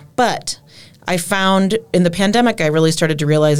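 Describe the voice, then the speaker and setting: Talking at a moderate speed, a woman speaks in an American accent. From Minnesota, Twin Cities. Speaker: singer-songwriter. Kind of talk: interview.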